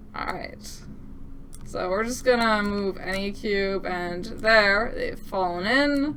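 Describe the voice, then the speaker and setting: A woman speaks very slowly at a medium pitch with ordinary pitch variation. The recording has noticeable background noise and audible room echo. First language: French. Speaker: game developer demoing own game. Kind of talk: gameplay demo commentary. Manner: casual, upbeat.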